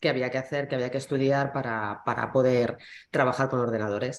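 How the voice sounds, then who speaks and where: A woman's voice with ordinary pitch variation. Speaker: company CIO. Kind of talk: panel discussion.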